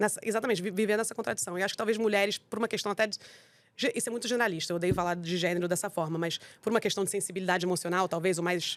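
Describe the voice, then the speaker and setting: A very clean recording with a silent background, the words coming at a very fast pace. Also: woman. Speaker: wine entrepreneur. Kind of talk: interview.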